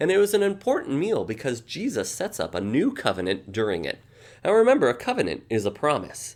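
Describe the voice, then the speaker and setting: His voice sits at a fairly high pitch for a man and moves in very wide pitch swings. He talks at a fairly quick pace with vocal fry. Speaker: children's Bible storyteller. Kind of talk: Bible story for children, talk to camera. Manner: friendly, warm.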